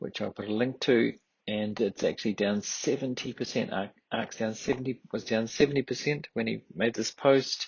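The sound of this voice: A man's medium-pitched voice with a husky, rough edge and vocal fry, at a moderate pace with ordinary pitch variation.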